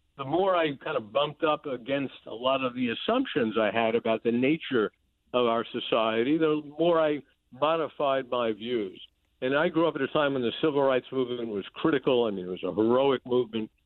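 Fairly quick in pace, a man speaks in a plain, everyday voice. His pitch is medium, with ordinary pitch variation. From New York City, the Bronx. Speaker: political journalist. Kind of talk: interview.

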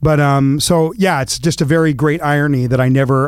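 A man speaks fairly quickly in a normal speaking voice. His pitch varies in an ordinary way. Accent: American. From US West Coast (Los Angeles, then Eugene, Oregon). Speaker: author and speaker. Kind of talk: interview conversation. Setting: studio.

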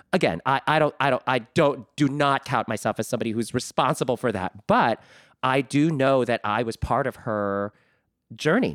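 An unremarkable speaking voice moves at a moderate pace with ordinary pitch variation, recorded with a dry, close sound and no echo. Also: man, medium pitch for a man. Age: 40s. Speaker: Broadway actor and director. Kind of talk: interview.

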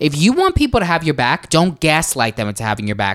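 Over a silent background in a very clean recording, a man with a New York accent talks at a fairly quick pace in a bright, sharp tone. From New York City, Staten Island. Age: 20s. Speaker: dancer and social media influencer. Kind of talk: casual chat.

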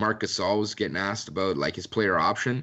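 Speaking with a slight Canadian accent, a man uses a fairly low pitch with ordinary pitch variation. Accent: Canadian English, mild. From Canada. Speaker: sports writer. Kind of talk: casual chat.

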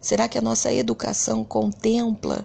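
A woman is speaking. Her pace is very slow. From Brazil, Rio de Janeiro (Bangu). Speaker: education supervisor. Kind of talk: reflective monologue.

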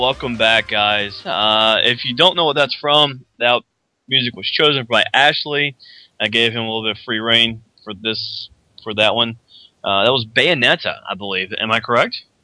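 This man has an ordinary speaking voice at a medium pitch. He speaks at a moderate pace with ordinary pitch variation. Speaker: podcast host. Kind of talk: casual live chat. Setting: live show online.

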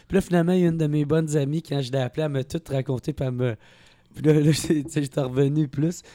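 A man's fairly high voice with a dark, mellow tone, very fast and fairly even in intonation, in a dry, close sound with no echo. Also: very clean recording, silent background. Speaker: comedian. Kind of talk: casual chat.

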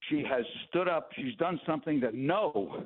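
A man speaks in a normal speaking voice at a fairly quick pace. His intonation is lively. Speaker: interviewee on border issues. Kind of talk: radio interview.

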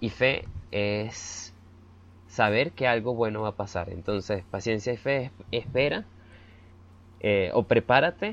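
This is a man speaking at medium pitch. His pitch varies in an ordinary way. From Venezuela. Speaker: podcast co-host, blogger. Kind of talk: casual chat.

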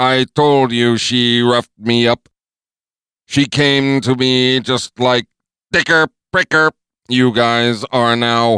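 Putting on a robotic character voice, a man with a medium pitch speaks at a very slow pace in a monotone, flat intonation, with a dry, close sound and no echo. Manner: blurts obscene tics, nervous then cocky.

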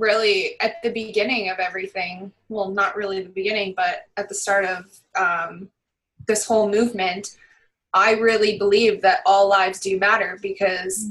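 The voice has a Canadian accent and a moderate pace. It is an ordinary speaking voice. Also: woman. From Barrie, Ontario, Canada. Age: 30s. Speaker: social media influencer. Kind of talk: casual chat. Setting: video call.

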